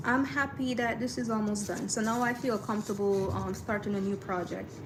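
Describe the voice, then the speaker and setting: Speaking at a fairly quick pace in a relaxed tone, a woman with a strong Caribbean accent has a fairly high pitch and ordinary pitch variation, with noticeable background noise and audible room echo. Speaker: artist livestreamer. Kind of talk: casual livestream chat. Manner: relaxed, with frequent fillers.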